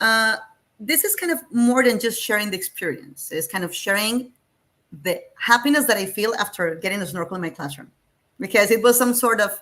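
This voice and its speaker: With a Spanish accent, a woman talks at a moderate pace in a fairly high, bright, sharp voice with lively intonation. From Colombia, Medellin. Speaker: STEM teacher. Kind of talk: webinar presentation.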